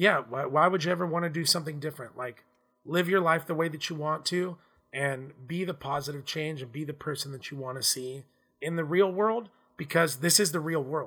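The man's fairly high pitch moves with ordinary variation. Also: fairly quick pace. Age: 30s. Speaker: rock drummer. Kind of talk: sales pitch; casual chat. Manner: animated.

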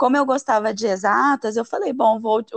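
Moderately paced speech from a woman, with ordinary pitch variation. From Brazil, Paraná. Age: 30s. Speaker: fashion designer and environmental engineer. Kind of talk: interview.

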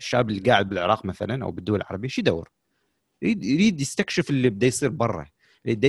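The voice is somewhat breathy and moves through very wide pitch swings. It races along at a very fast pace. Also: man, dry, close sound with no echo, very clean recording, silent background. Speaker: podcast host. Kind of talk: casual chat.

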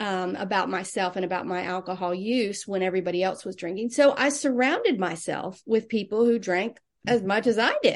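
A woman with an ordinary speaking voice talks at a fairly quick pace and medium pitch, with ordinary pitch variation and hardly any pauses. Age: 60s. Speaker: nurse and wellness coach. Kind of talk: interview conversation.

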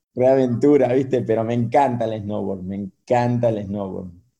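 Audible room echo colors a man's dark, mellow voice at medium pitch. He speaks fairly slowly with fairly even intonation. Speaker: professional surfer. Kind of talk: casual interview chat.

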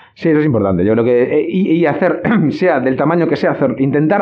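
A man speaks at a fairly quick pace with very wide pitch swings, against noticeable background noise. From Spain, Galicia (Ourense). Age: 40s. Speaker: theatre director. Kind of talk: casual chat. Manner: halting.

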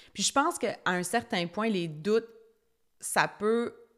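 A woman talks with a Quebec accent and ordinary pitch variation. The recording is very clean, with a silent background. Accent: Québécois French. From Quebec, Estrie (Brompton near Sherbrooke). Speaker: podcast host, personal development coach. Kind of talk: solo podcast monologue. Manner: animated.

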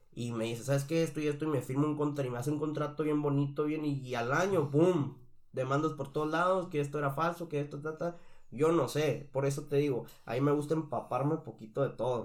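The speaker is a man with a fairly high pitch. He talks very fast, keeping his intonation fairly even. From Mexico, Sonora. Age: 20s. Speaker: singer. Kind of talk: casual interview chat.

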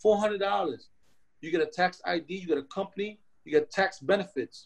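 This man speaks with a New York accent. His pitch is high. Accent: New York (Bronx) English. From Philippines, raised in South Bronx, New York. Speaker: chef. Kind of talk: interview. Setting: video call. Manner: animated.

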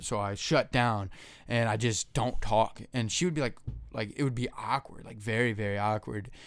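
A man speaks at a medium pitch with an animated tone and ordinary pitch variation. The recording is very clean, with a silent background. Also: moderate pace. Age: 20s. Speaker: podcast co-host. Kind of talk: casual chat. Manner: casual, profane, animated.

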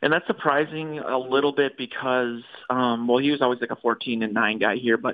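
The voice has fairly even intonation. It is an ordinary speaking voice. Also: man, medium pitch for a man, fairly quick pace. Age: 30s. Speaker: sports blogger and podcaster. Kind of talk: casual chat. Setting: phone call.

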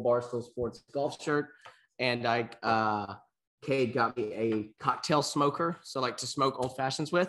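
Against a quiet background, a man with an ordinary speaking voice and medium pitch talks at a fairly slow pace with fairly even intonation. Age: 20s. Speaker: podcast co-host. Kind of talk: casual chat.

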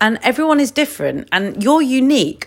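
A woman speaks with an English accent. The recording is very clean, with a silent background. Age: 30s. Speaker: podcast host, coach. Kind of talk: solo casual talk.

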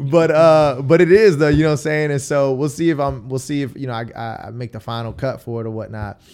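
A man with an ordinary speaking voice and an American accent talks at a fairly quick pace with lively intonation. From Queens, New York. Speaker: battle rapper and spoken word poet. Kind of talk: casual interview.

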